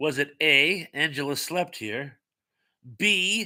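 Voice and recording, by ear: A man speaks at a very slow pace in a bright, sharp tone.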